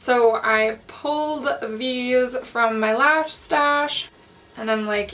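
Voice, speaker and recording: Speaking at a fairly high pitch with ordinary variation, a woman is heard with audible room echo around her. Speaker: beauty YouTuber. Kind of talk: tutorial. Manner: chatty.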